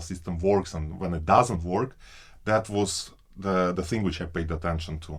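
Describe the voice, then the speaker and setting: A man is speaking. He has a Russian accent. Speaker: PhD researcher. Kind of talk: interview answer.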